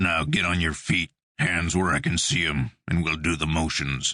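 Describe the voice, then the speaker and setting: Growling in a put-on character voice, a man speaks with a very deep, low pitch. The voice is gravelly, and the pace moderate. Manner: slow, deadpan.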